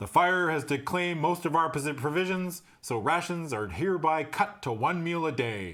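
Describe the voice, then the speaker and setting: A man speaks in a put-on character voice, booming and raised to project, with fairly high pitch. His intonation is lively and his pace moderate. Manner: commanding.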